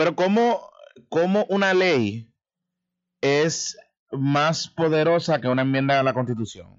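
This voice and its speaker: Using lively intonation and very even loudness, a man with a fairly high pitch speaks with long, frequent pauses. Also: fairly slow pace. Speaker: radio talk show host. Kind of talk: radio interview.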